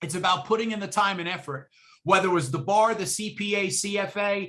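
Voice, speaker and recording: A high-voiced man with a New York accent speaks at a moderate pace in a bright, sharp tone with ordinary pitch variation. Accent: New York (Bronx) accent, noticeable. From New York City, the Bronx. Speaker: exam prep instructor. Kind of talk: guest talk to student club. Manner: animated; informal.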